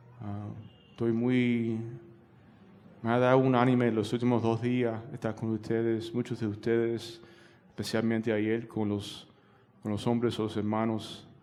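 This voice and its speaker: A man's medium-pitched voice, dark and mellow in tone, flat and monotone, with long, frequent pauses and an audible room echo. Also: fairly slow pace. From United States. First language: English (speaking Spanish). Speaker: pastor. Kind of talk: sermon. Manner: halting, many fillers.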